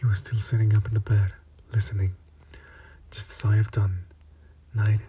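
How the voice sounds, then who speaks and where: Soft-spoken and monotone, a man with a fairly low pitch speaks in a flat way at a moderate pace. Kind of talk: ASMR story reading. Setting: close-mic ASMR recording. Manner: soft-spoken, relaxing.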